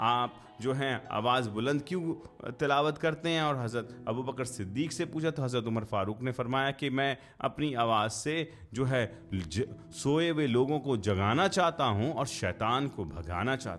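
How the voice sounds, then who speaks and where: The man has a plain, everyday voice at a medium pitch, and his intonation is lively. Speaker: Islamic podcaster / religious speaker. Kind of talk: casual explanatory commentary in Urdu.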